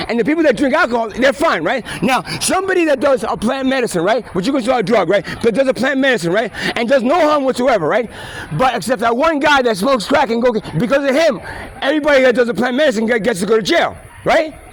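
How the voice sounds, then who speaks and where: An animated man with a New York accent talks very fast at an extremely high pitch with lively intonation over noticeable background noise. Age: 50s. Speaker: street videographer. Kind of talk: heated debate. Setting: outdoors. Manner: repetitive stammering.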